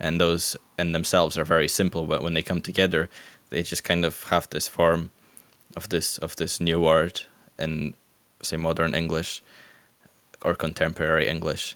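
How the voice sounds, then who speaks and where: A man speaks with a very deep, low pitch in a monotone, flat intonation. His pace is moderate, broken by long, frequent pauses. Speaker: podcast co-host. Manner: halting, thoughtful.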